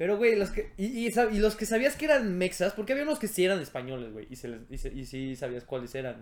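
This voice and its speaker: A man with a Mexican accent talks very fast with hardly any pauses, his high pitch making very wide swings. His loudness also rises and falls sharply. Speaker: podcast co-host. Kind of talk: casual chat.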